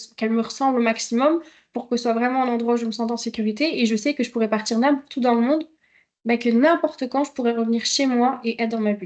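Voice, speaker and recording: A woman talks at a high pitch with ordinary pitch variation. The background is quiet. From Belgium. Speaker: travel vlogger. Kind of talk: live stream talk. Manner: hesitant, many fillers.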